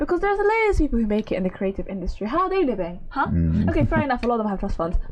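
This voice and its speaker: A high-pitched woman speaks with very wide pitch swings over noticeable background noise. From Somalia, raised partly in the Netherlands and London. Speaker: journalist. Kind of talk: podcast interview answer.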